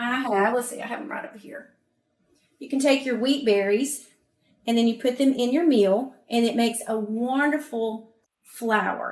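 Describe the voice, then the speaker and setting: The speaker has a Southern US accent and a moderate pace. Intonation stays fairly even, while loudness swings widely. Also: woman, high pitch for a woman. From US South. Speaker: cooking presenter. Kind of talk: cooking demonstration.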